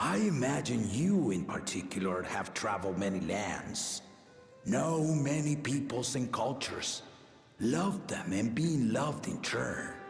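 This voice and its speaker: A man puts on a character voice at medium pitch, talking at a moderate pace with a slight echo and clear music in the background. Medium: game stream. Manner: stately, measured, fatherly.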